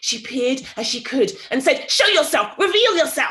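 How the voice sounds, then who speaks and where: A woman puts on a character voice pitched high. She talks at a moderate pace. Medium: read story. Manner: cackling, repetitive.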